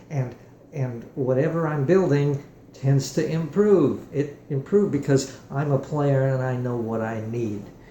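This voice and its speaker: Noticeable background noise and audible room echo surround a voice moving at a fairly slow pace with ordinary pitch variation. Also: man, fairly high pitch for a man. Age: 70s. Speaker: guitar maker and musician demonstrating his product. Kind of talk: product demonstration tutorial. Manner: halting, many fillers and restarts.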